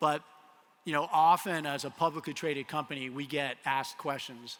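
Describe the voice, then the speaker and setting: Fairly high-pitched and bright, sharp in tone, a man with an American accent speaks at a fairly quick pace with fairly even intonation. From US, Colorado. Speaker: tech company CEO. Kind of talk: conference keynote. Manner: casual, with frequent fillers.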